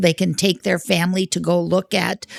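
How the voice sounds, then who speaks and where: A woman's fairly low voice with vocal fry, fairly even intonation and a fairly slow pace. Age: 60s. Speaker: refugee volunteer. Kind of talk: interview. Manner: halting.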